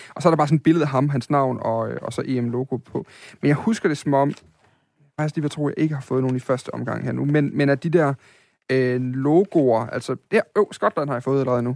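The speaker has an unremarkable speaking voice, with ordinary pitch variation and a fairly quick pace. The sound is dry and close, with no echo. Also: man, fairly high pitch for a man. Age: 30s. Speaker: podcast host. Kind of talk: casual chat.

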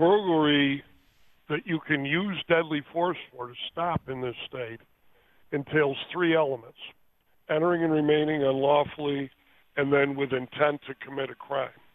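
This man's pitch sits fairly high, and his intonation stays fairly even. He leaves long, frequent pauses. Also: moderate pace. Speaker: police attorney. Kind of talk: phone interview. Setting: phone call.

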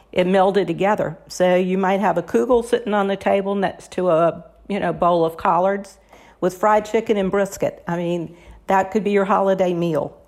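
A woman with an ordinary speaking voice, medium in pitch, talks at a moderate pace with fairly even intonation. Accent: American. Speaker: cookbook author. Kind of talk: interview.

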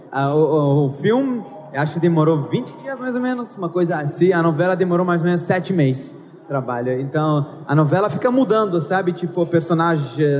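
A man with a non-native accent speaks at a high pitch and moderate pace with lively intonation, amid noticeable background noise and audible room echo. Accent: foreign accent in Portuguese. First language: Arabic (speaking Portuguese). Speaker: actor. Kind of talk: live panel talk. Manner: halting.

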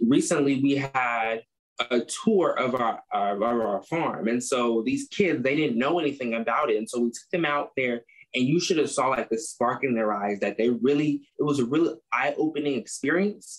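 A man speaks in a plain, everyday voice with an American accent. His medium-pitched delivery has lively intonation and a moderate pace. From US Midwest, Chicago. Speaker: agriculture student, club president. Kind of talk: interview. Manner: casual, many fillers.

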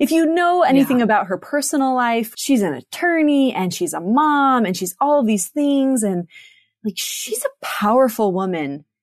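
A woman at a moderate pace, high-pitched, with very wide pitch swings. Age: 30s. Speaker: seminary teacher. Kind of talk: casual chat.

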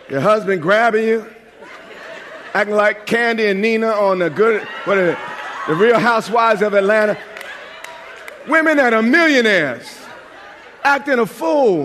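Against noticeable background noise and audible room echo, a man with an American accent speaks in a high pitch at a moderate pace, with lively intonation, very even loudness, and long, frequent pauses. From New York. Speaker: pastor. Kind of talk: sermon. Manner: animated.

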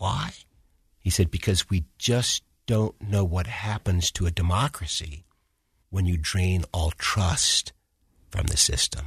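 A man with an American accent, very deep and low in pitch, somewhat breathy, at a very slow pace with long, frequent pauses against a quiet background. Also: ordinary pitch variation, very even loudness, dry, close sound with no echo. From Washington, D.C. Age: 60s. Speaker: retired federal judge. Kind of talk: interview conversation.

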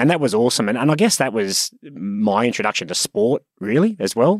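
A fairly quick man with an Australian accent. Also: very clean recording, silent background. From Sydney, Australia. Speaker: property company executive. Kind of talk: interview.

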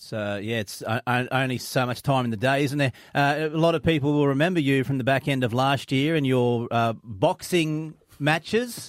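A man with an Australian accent is speaking. His pitch is fairly high, and his pace is moderate. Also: ordinary pitch variation. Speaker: radio host. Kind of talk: breakfast radio chat. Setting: radio studio.

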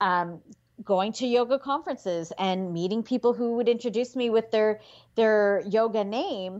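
A woman with a Canadian accent and a plain, everyday voice speaks at a moderate pace. Her pitch is fairly high, with ordinary pitch variation. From Canada. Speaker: physician and yoga therapist. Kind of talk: interview conversation.

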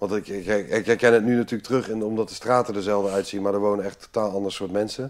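A man with a fairly low pitch talks very fast in a flat monotone, barely pausing, on a very clean recording with a silent background. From Amsterdam, Netherlands. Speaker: retired commando captain, entrepreneur. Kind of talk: interview, life story.

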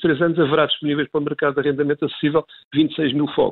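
A man with a fairly high pitch. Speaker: former housing minister and politician. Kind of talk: radio interview. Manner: halting, many fillers.

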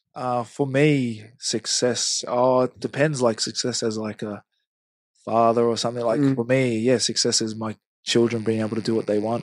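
Against a quiet background, a man with a New Zealand accent talks at a moderate pace in a medium pitch with monotone, flat intonation. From New Zealand, Hamilton. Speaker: rugby league player. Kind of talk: casual interview.

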